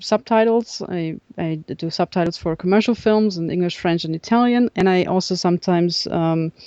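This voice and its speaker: In a German accent, the speaker has a dark, mellow tone, ordinary pitch variation and a moderate pace. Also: woman. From northern Germany, Kiel. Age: 30s. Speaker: subtitle editor and film historian. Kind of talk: casual chat.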